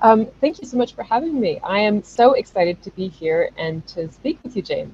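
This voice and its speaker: Here a woman speaks with an American accent at a fairly quick pace. Her pitch swings very widely. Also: fairly high pitch for a woman, hardly any pauses. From US, North Carolina (Chapel Hill). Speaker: travel journalist and podcast host. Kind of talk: casual interview chat.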